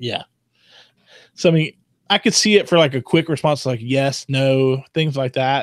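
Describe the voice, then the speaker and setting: A fairly high-pitched male voice with a Southern US accent, ordinary pitch variation and long, frequent pauses, in a dry, close sound with no echo. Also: moderate pace, very clean recording, silent background. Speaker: tech podcast co-host. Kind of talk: casual chat.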